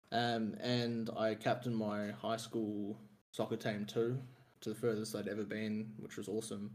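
This man has an Australian accent and a fairly low pitch. He keeps a moderate pace with monotone, flat intonation. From Australia, Melbourne. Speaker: sports fan guest. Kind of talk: casual chat.

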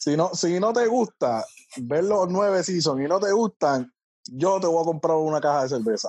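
With a dry, close sound and no echo, a man speaks at a moderate pace in a high pitch, his loudness very even and his intonation lively. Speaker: podcast guest. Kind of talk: casual chat. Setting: video call.

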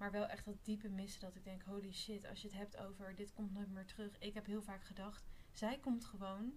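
A woman with a plain, everyday voice speaks at medium pitch and a fairly quick pace, her intonation fairly even. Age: 20s. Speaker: spiritual retreat participant. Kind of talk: casual chat.

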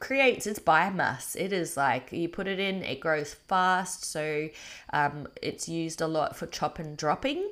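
A fairly slow voice with an Australian accent and ordinary pitch variation, in a very clean recording with a silent background. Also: woman. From Australia, North Queensland (Townsville). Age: 30s. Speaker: podcast host and permaculture educator. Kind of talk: solo podcast monologue. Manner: casual with frequent fillers (um, uh).

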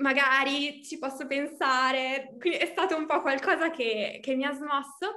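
A woman speaks in a raised, projected voice. Her pitch is high and her pace fairly slow. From Emilia-Romagna, Italy (Reggio Emilia). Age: 20s. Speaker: coaching client. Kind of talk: interview testimony. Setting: video call.

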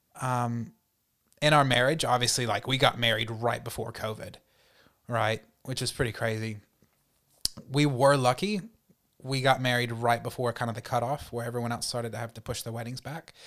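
Speaking at a fairly quick pace with long, frequent pauses, a man with a Southern US accent keeps a medium pitch and fairly even intonation. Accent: Southern American. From US South, North Carolina. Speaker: youth worker and teacher. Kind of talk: casual interview.

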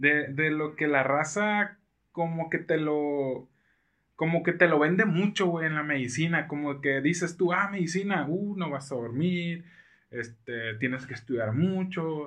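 In an ordinary speaking voice, the man delivers his words fairly slowly. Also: fairly high pitch for a man, ordinary pitch variation. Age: 20s. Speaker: surgical resident doctor. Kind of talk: casual chat.

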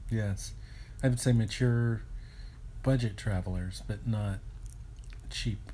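A man speaks very slowly in a fairly low pitch, with a dark, mellow, somewhat breathy tone and fairly even intonation. Long, frequent pauses break up his speech, and room echo is audible. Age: 50s. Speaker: travel podcast co-host. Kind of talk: casual chat. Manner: hesitant, many fillers.

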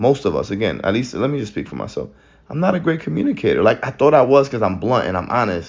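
Talking very fast, a medium-pitched man shows very wide pitch swings and vocal fry. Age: 30s. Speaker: solo podcaster. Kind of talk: personal reflective monologue. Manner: halting.

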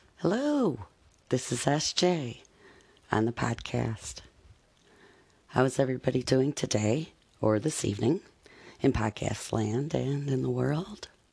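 A man speaks with a warm tone, a medium pitch, and a somewhat breathy quality. His pace is fairly slow, with long, frequent pauses. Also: lively intonation. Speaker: podcast host reading a poem. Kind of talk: poetry reading with a friendly podcast intro and sign-off, warm and sincere. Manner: friendly, warm, prayerful.

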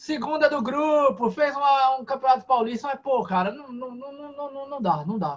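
A man speaks at a moderate pace. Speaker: football podcast host. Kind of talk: casual football chat. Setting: live stream studio.

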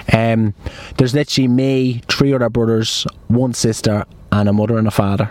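Amid noticeable background noise, a man with an Irish accent speaks at a fairly quick pace and medium pitch with monotone, flat intonation. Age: 20s. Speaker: podcast host. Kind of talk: casual chat. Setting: in a car.

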